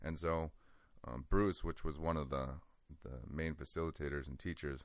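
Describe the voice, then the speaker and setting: A man talks at a moderate pace. His pitch is very deep and low, with vocal fry. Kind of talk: casual interview chat.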